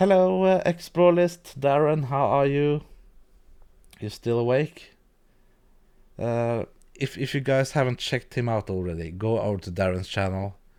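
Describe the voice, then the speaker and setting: A man's dark, mellow voice with very wide pitch swings, a moderate pace, long and frequent pauses, and a quiet background. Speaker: video editing youtuber. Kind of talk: live-stream tutorial. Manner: hesitant, many fillers; quiet at times. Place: home room. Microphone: studio mic.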